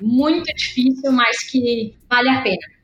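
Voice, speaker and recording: Fairly even intonation in a woman's high voice. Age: 20s. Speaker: political activist and candidate. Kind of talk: casual interview. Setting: online call.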